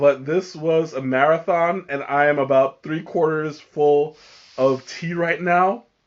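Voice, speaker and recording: A man speaks at a fairly slow pace with a slight New York accent. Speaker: tea reviewer, live streamer. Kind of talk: live stream tea tasting chat. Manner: casual, halting with fillers.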